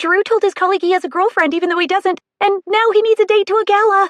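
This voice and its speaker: A woman's put-on character voice, extremely high in pitch and very fast. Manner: fast rush of words.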